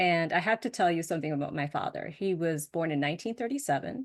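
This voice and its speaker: Against a quiet background, a woman speaks with lively intonation. Her pitch is fairly low. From US Northeast, suburbs of Boston. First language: Spanish. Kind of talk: presentation talk.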